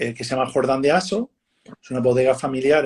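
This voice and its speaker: On a very clean recording with a silent background, a somewhat breathy man is heard in a dry, close sound with no echo. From United States. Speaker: winemaker. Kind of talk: casual interview on a live stream. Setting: live video stream. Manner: halting, many fillers and repeats.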